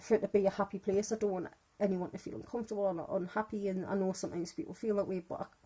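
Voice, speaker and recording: Speaking with a British accent, a woman uses a dark, mellow tone at a medium pitch. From UK. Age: 30s. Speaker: fan group admin. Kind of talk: casual vlog monologue. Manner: fast.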